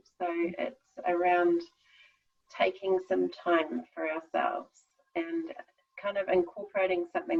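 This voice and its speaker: At a moderate pace, a woman speaks with a New Zealand accent. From New Zealand, North Island. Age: 40s. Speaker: skincare business owner. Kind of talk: casual interview.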